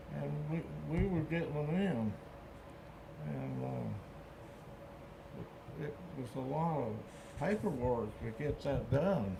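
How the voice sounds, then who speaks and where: The speech moves at a fairly slow pace with long, frequent pauses. Noticeable background noise runs underneath. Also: man. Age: 80s+. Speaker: World War II veteran. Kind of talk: interview answer.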